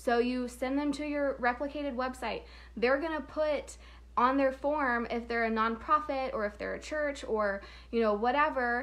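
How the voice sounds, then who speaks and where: Speaking at a moderate pace in an Oklahoma accent, a woman with a high voice sounds animated, her pitch varying in an ordinary way. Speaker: payment processing sales trainer. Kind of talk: casual live stream training.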